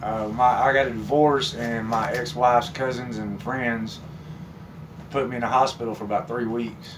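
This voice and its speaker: A man with a Texas accent talks at medium pitch with fairly even intonation, with audible room echo and noticeable background noise. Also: moderate pace. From Texas, north of Fort Worth. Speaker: mechanic. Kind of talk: personal testimony. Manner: halting.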